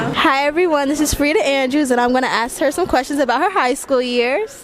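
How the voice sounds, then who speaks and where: Noticeable background noise surrounds a woman's voice. She speaks at a fairly quick pace in a high pitch. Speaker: interviewer. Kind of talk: interview questions.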